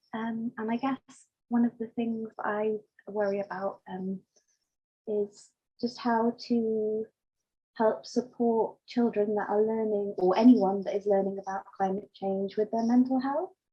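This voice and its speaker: Speaking in a British accent, a woman with a fairly high pitch keeps her intonation fairly even at a fairly slow pace. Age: 30s. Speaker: workshop participant, mental health worker. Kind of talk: question in online discussion. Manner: halting, many fillers.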